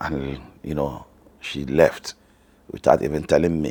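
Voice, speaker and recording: At a fairly slow pace, a man with a Nigerian accent speaks with vocal fry. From northern Nigeria. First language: Hausa. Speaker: family vlogger. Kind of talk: personal story.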